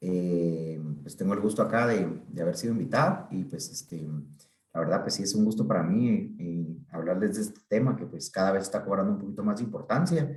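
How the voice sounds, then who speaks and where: Lively in intonation, a man talks at a fairly quick pace and a fairly low pitch. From Guatemala. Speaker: psychiatrist. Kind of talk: talk to an online group. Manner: halting, many fillers.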